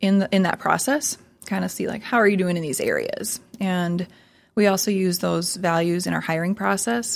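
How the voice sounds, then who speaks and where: A woman's medium-pitched voice in an Upper Midwest accent, on a very clean recording with a silent background. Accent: Upper Midwest American. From South Dakota, Sioux Falls. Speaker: marketing agency CEO. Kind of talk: casual interview.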